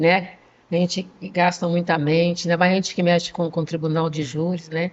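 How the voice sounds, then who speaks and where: A woman's fairly low-pitched voice at a moderate pace, in a monotone, flat intonation. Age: 70s. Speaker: lawyer. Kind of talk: casual chat.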